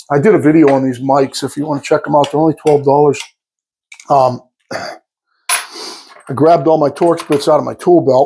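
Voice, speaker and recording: A man talks at a moderate pace in a dark, mellow tone with fairly even intonation. Light background noise is present. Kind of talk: tutorial. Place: workshop. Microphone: lapel.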